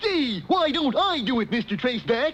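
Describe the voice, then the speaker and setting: A high-pitched, cartoonish character voice comes through over light background noise. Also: moderate pace. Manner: dopey, cheerful.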